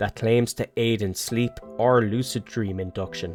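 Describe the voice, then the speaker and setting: With music in the background, a man speaks at a medium pitch in an Irish accent. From Ireland. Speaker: cinematographer and video editor. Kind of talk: casual talk to camera, channel trailer. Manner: informal, humorous.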